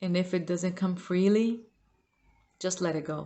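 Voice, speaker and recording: At a moderate pace, a woman with a non-native accent speaks in a fairly low pitch. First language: not English. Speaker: self-help vlogger. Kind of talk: unscripted personal talk to camera. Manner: halting.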